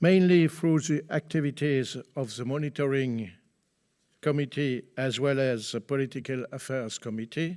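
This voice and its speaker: A man's fairly high voice at a fairly slow pace, with ordinary pitch variation, on a very clean recording with a silent background. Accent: French. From France. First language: French. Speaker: politician. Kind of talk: conference speech. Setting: conference hall with audience. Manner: formal.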